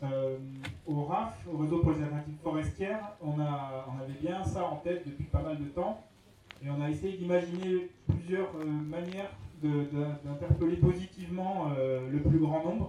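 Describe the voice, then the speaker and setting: Noticeable background noise accompanies a man speaking at a fairly slow pace with ordinary pitch variation. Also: fairly high pitch for a man. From Burgundy, France. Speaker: forest network volunteer. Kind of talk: panel debate.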